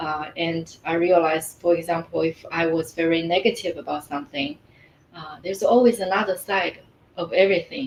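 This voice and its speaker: A woman with a Mandarin accent speaks at a moderate pace in a fairly low pitch. Her loudness swings widely, and there is noticeable background noise. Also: ordinary pitch variation. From China. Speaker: life coach. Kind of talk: interview. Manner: hesitant, many fillers.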